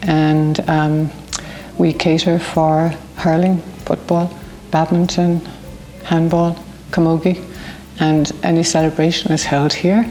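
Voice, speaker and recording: In a rural Irish accent, a woman speaks very slowly at a fairly low pitch, her intonation flat and monotone, her loudness very even, with long, frequent pauses and music in the background. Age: 70s. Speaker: community volunteer, award winner. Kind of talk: interview testimony.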